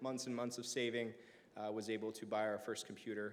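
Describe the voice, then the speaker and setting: With audible echo from the room, a man's voice sits at a medium pitch. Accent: American. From Bosnia, raised in the US from the early 1990s. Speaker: cybersecurity solutions architect, event speaker. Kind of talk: conference talk. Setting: university event with live audience and livestream. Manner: casual with many fillers.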